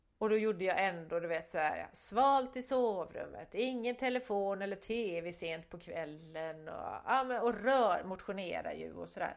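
A woman's normal speaking voice at medium pitch, with lively intonation, a fairly slow pace and hardly any pauses. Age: 50s. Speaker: podcast co-host, photographer. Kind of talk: casual chat.

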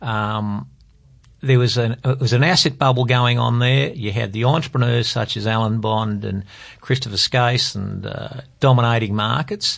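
A man with an Australian accent talks at a moderate pace and a medium pitch. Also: ordinary pitch variation. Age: 50s. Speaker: private investor. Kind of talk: panel discussion about financial markets. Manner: hesitant, many fillers.

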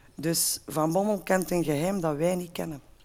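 A woman speaks in a normal speaking voice at a fairly slow pace. Her pitch variation is ordinary. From Belgium, Lier (Antwerp province). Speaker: football supporter pundit. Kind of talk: casual chat.

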